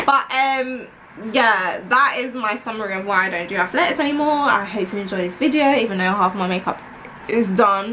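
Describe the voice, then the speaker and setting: The speaker talks at a fairly quick pace in a London accent, with lively intonation. Noticeable background noise sits behind the voice. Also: woman, fairly high pitch for a woman. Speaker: vlogger. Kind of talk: casual chat.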